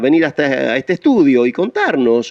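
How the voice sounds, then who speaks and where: Speaking at a moderate pace with a Rioplatense accent, a man is heard in a dry, close sound with no echo. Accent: Argentine Rioplatense Spanish. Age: old. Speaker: radio host. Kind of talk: radio interview. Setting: studio.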